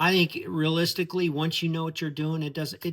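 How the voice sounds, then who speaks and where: In a very clean recording with a silent background, a man with a plain, everyday voice speaks at a fairly high pitch and a moderate pace. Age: 50s. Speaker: real estate entrepreneur. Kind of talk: casual talk to camera.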